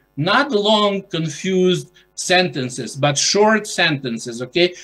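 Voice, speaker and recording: Music plays behind a man speaking at a fairly slow pace with a Ukrainian accent. His intonation is lively. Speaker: journal editor. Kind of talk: conference presentation. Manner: halting, many fillers.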